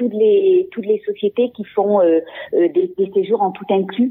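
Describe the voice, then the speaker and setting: In a plain, everyday voice, the speaker goes at a fairly slow pace with lively intonation. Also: woman. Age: 50s. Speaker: guesthouse owner. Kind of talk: interview.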